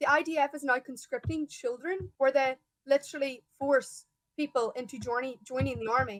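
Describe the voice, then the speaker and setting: A woman with an Irish accent talks at a moderate pace and a high pitch. Her intonation is fairly even, and the sound is dry and close with no echo. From Ireland. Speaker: pro-Palestine activist. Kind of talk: heated debate.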